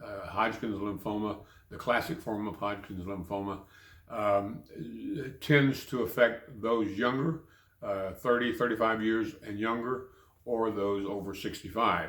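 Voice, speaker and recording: Heard with audible room echo, a man with a fairly low pitch talks at a fairly slow pace with fairly even intonation. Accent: American. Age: 70s. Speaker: cancer patient and Vietnam veteran. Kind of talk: personal video diary. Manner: halting, many fillers and repetitions.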